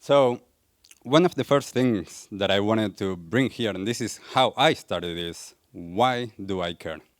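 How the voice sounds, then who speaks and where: A man with an Argentine accent speaks fairly slowly with lively intonation. His voice is fairly low, in a very clean recording with a silent background. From Argentina. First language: Spanish. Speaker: wellness coach, speaker. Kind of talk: public talk.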